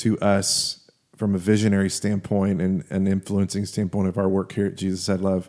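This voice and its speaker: Dark and mellow in tone, a man speaks with fairly low pitch. His intonation is monotone and flat, at a moderate pace. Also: very even loudness. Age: 40s. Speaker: podcast host. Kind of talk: casual chat. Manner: loud, dynamic.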